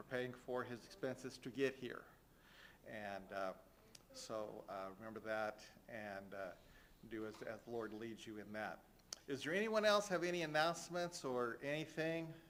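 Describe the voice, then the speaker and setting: A man at medium pitch with very wide pitch swings, a moderate pace, long, frequent pauses and audible room echo. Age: 60s. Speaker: church leader giving announcements. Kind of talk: church announcements. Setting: church. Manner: halting, many fillers.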